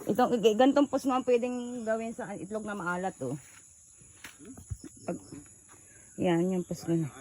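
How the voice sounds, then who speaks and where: Speech moves at a fairly slow pace with long, frequent pauses over noticeable background noise. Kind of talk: casual vlog talk. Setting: outdoors.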